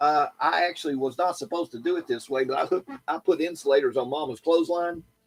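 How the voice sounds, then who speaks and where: A man in an East Tennessee accent, high-pitched and very fast, with ordinary pitch variation and a dry, close sound with no echo. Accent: Southern US (East Tennessee). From US South, East Tennessee (Lenoir City). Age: 70s. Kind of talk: casual chat.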